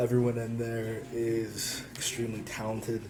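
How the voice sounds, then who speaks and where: Medium pitch from a man, with background noise clearly noticeable. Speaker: author. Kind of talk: casual talk to camera.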